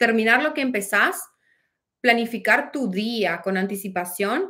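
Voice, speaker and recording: A woman with a northeastern Argentine accent, her bright, sharp tone and lively intonation at a fairly slow pace. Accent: Argentine Spanish (northeastern, voseo). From Argentina, Posadas, Misiones; Misiones, Argentina. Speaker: life coach. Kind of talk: motivational livestream talk. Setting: livestream on several platforms. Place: home room. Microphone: phone near.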